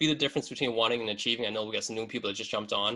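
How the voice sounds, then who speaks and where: A man talks at a medium pitch. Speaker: business advisor and CEO leading a seminar. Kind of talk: webinar presentation. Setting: video call from home basement office. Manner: fast; casual, filler-heavy.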